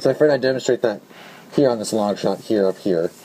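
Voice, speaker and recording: A man rattles off words very fast while noticeable noise carries on behind him. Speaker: hobbyist modder, video tutorial maker. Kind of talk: tutorial. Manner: casual with frequent fillers.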